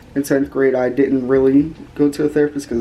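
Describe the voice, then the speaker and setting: Fairly high in pitch, a man speaks at a fairly quick pace. Noticeable background noise runs behind him. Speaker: YouTuber. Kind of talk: personal vlog testimony. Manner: monotone; flat, low-energy.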